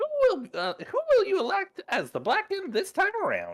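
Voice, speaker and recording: A man puts on a squeaky character voice at an extremely high pitch, speaking at a moderate pace. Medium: virtual streamer. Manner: gleeful, showman-like.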